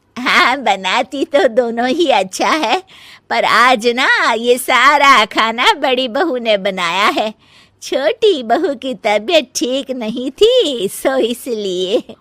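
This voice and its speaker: A woman uses a cartoonish character voice, very slow in pace, with lively intonation and a high pitch. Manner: commanding.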